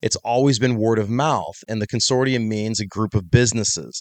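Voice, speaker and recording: A man speaks fairly quickly in a plain, everyday voice, at medium pitch with ordinary pitch variation. The sound is dry and close with no echo, over a quiet background. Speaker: fitness industry entrepreneur and coach. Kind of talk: casual interview.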